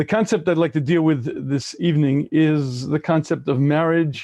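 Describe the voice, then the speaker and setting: A fairly high-pitched man with an American accent, dark and mellow in tone, fairly even in intonation, at a moderate pace over a quiet background. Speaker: rabbi. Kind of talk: lecture.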